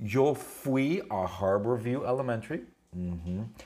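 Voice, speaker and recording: Noticeable background noise sits under this recording. A man speaks at a very slow pace with a medium pitch. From Southern California, Huntington Beach. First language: English (speaking Spanish). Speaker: Spanish teacher. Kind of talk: classroom lesson. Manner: animated; simple slow phrasing.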